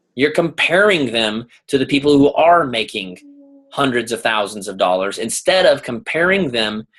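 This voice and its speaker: Against a quiet background, a man speaks loudly at a moderate pace, his fairly high pitch making very wide swings. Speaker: leadership coach and guest speaker. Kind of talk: motivational talk on group video call. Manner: animated.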